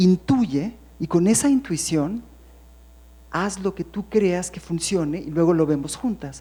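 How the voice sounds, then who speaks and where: Somewhat breathy, a woman with a fairly low pitch and a dark, mellow tone speaks at a fairly slow pace. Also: lively intonation. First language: English (speaking Spanish). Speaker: poet. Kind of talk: panel discussion. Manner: halting.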